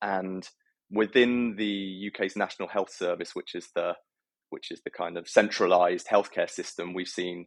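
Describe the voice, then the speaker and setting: In a British accent, a man talks at a moderate pace over a quiet background, the sound dry and close with no echo. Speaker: health tech entrepreneur. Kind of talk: interview. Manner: hesitant, many fillers.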